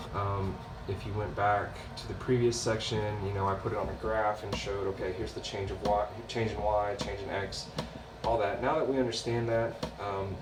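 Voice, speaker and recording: In a room with audible echo and noticeable background noise, a man speaks at a moderate pace. His fairly low voice is monotone, with flat intonation. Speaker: math instructor. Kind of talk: lecture. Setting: recorded video lesson.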